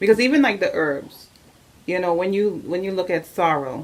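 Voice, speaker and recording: This woman has a normal speaking voice. She talks at a moderate pace with lively intonation. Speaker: doula, interviewer. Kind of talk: interview questions.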